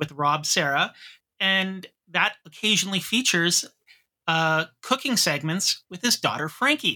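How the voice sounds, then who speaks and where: The voice has a bright, sharp tone and a moderate pace. The recording is very clean, with a silent background. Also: man. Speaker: podcast co-host. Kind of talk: casual chat.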